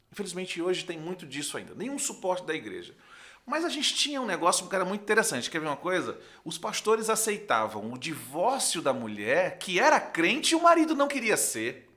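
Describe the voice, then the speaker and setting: Raising and projecting his high voice, a man talks at a fairly quick pace in an animated tone with very wide pitch swings. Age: 40s. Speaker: pastor. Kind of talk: podcast interview.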